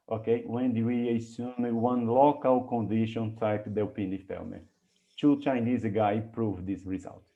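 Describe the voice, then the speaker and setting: Intonation stays fairly even while room echo is audible. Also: man, medium pitch for a man, fairly slow pace. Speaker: mathematics researcher giving a conference talk. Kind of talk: academic lecture; Q&A discussion. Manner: halting, many repetitions.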